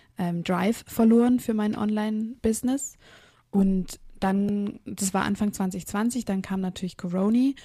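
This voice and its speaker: Somewhat breathy, a woman speaks in a dark, mellow tone with fairly even intonation. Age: 20s. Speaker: physiotherapist and running coach. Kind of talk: interview.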